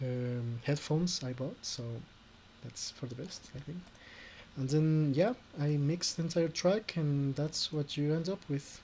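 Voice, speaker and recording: Fairly high-pitched, a man speaks with a non-native accent at a fairly slow pace. His tone is dark and mellow, somewhat breathy. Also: ordinary pitch variation. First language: Spanish. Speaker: YouTuber, orchestral cover arranger. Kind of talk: tutorial. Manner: halting.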